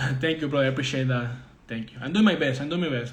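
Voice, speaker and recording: Recorded with audible room echo and noticeable background noise, a man with a Spanish accent talks with ordinary pitch variation. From Venezuela. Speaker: trading mentor. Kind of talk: live-stream Q&A. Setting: Instagram live video. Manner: halting.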